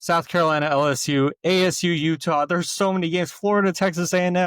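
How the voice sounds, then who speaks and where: A man with an unremarkable speaking voice talks fairly quickly with ordinary pitch variation. The recording is very clean, with a silent background and a dry, close sound with no echo. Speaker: college football podcast co-host. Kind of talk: casual chat.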